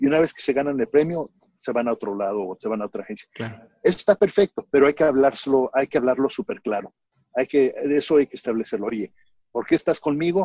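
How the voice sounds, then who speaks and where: A man's fairly high, dark, mellow voice at a very fast pace, with lively intonation, big swings in loudness, and a dry, close sound with no echo. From Mexico. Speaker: marketing agency founder. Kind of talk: interview. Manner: animated.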